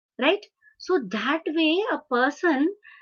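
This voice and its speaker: The speaker is a woman. She has a Marathi accent. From India, Hyderabad. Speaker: professor of translation studies. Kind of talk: lecture. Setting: webinar video call. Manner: halting, many fillers.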